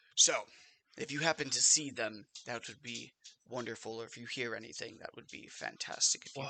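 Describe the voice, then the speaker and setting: A man uses a raspy, put-on character voice at a medium pitch. He goes at a fairly quick pace with fairly even intonation and big swings in loudness. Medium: actual play. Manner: formal, officious.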